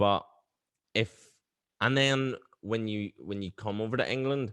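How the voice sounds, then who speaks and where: Fairly slow speech with a Belfast accent, fairly even intonation, and a dry, close sound with no echo. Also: man, medium pitch for a man. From West Belfast, Northern Ireland. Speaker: podcast host, actor. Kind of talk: casual chat.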